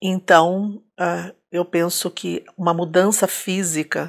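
In monotone, flat intonation, a woman speaks very slowly in a fairly low pitch on a very clean recording with a silent background. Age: old. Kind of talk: testimony.

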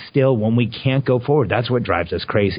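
Somewhat breathy, the voice keeps a moderate pace with ordinary pitch variation. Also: man. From Mexico, raised in Southern California from age five. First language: Spanish. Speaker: entrepreneur. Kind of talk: interview.

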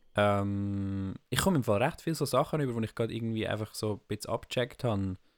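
Speaking very fast with a Swiss accent, the voice has ordinary pitch variation and hardly any pauses. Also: man, medium pitch for a man. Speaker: podcast co-host. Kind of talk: casual chat.

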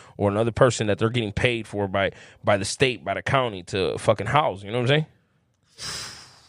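With a Chicago accent, a man talks at a fairly quick pace and medium pitch with ordinary pitch variation, in a very clean recording with a silent background. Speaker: formerly incarcerated guest. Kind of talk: casual chat.

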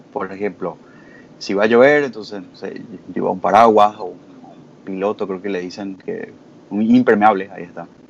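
A man's fairly low voice at a moderate pace, with fairly even intonation, big swings in loudness and long, frequent pauses. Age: 20s. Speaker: lawyer, community member. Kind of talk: casual panel discussion.

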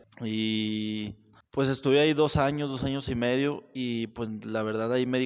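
With an unremarkable speaking voice, a man talks at a moderate pace and fairly even intonation in a very clean recording with a silent background. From Mexico, Saltillo. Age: 20s. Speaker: barber and entrepreneur. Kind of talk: casual chat.

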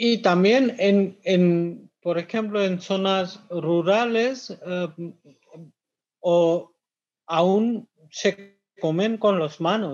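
Very slowly and with long, frequent pauses, a man speaks at a high pitch. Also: ordinary pitch variation. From India, Kolkata. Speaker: restaurant manager. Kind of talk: webinar talk.

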